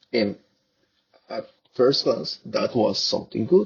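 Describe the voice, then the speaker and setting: With a Spanish accent, a man talks at a moderate pace. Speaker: researcher. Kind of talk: conference presentation. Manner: halting.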